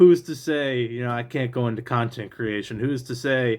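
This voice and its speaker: At a moderate pace, a man talks with medium pitch. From Great Lakes region, USA. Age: 20s. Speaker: real estate trainee appraiser. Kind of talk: casual talk to camera. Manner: halting, frequent filler 'you know'.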